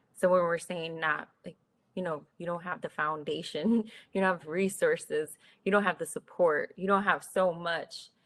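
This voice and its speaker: Using a normal speaking voice with an American accent, a woman talks at a moderate pace and fairly low pitch, her intonation fairly even but her loudness swinging widely. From US Northeast, North Philadelphia. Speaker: tech professional, panelist. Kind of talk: panel discussion.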